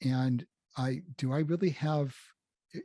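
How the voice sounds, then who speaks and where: In a dry, close recording with no echo, a man with an American accent speaks in a somewhat breathy voice with a dark, mellow tone. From Los Angeles, US West Coast. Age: 70s. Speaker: game designer and programmer. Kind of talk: interview conversation.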